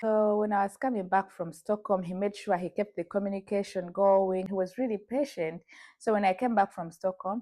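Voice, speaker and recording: A woman with a Ugandan accent and fairly even intonation, on a very clean recording with a silent background. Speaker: vlogger. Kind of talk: personal storytelling.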